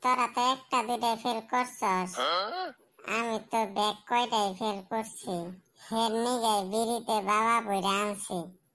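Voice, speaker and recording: In a cartoonish character voice, a woman speaks fairly slowly at a fairly high pitch with monotone, flat intonation, in a very clean recording with a silent background. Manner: sulky, grumbling.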